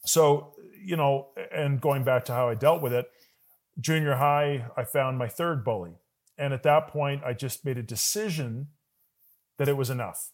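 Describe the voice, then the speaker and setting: A man speaks at a moderate pace with a fairly high pitch, ordinary pitch variation, and long, frequent pauses. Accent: Canadian. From Calgary, Canada. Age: 40s. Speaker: business coach. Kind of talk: interview. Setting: video call.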